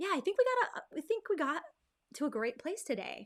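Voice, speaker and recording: This is a woman speaking. Her pitch swings very widely. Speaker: graphic designer. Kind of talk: tutorial livestream. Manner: fast; animated.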